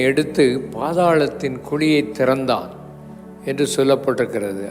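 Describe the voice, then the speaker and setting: Fairly high male voice over music in the background. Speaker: preacher. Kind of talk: sermon / church service preaching.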